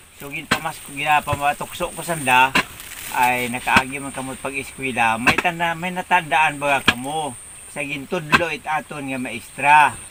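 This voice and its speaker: The delivery moves at a moderate pace with fairly even intonation, though loudness swings widely. Noticeable background noise runs underneath. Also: man, fairly high pitch for a man. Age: 70s. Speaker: farmer. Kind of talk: casual vlog talk to camera.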